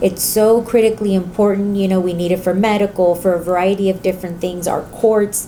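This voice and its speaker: This speaker talks fairly quickly in a Spanish accent, with hardly any pauses. The intonation stays monotone and flat over noticeable background noise. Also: woman, medium pitch for a woman. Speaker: community college trustee. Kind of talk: interview. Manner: hesitant, many fillers.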